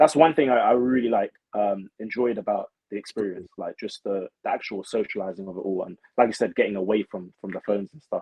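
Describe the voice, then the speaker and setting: Speaking very fast with a London accent, a man with a fairly low pitch shows ordinary pitch variation and big swings in loudness. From London, England. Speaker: reality show contestant, social media creator. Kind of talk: casual interview chat.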